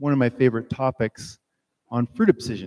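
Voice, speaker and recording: A man's dark, mellow tone with ordinary pitch variation, in a dry, close sound with no echo. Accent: strong French. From France. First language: French. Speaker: plant biology researcher. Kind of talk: lecture.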